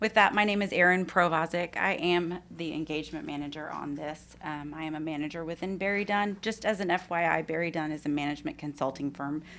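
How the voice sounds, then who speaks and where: A woman with a Texan accent speaks at a fairly quick pace, with hardly any pauses. Her pitch is fairly low and her intonation fairly even. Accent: noticeable Texan. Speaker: management consultant. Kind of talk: formal presentation. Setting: school board meeting room.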